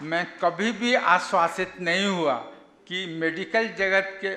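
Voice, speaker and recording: A man speaks with a high pitch. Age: 80s+. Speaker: doctor and yogi giving a talk. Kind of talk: talk at a health camp. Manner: halting.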